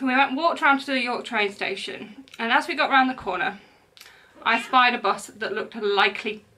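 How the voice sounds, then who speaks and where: Over light background noise, a woman speaks at a high pitch. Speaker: crochet podcaster. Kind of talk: casual vlog chat. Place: home room. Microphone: camera far.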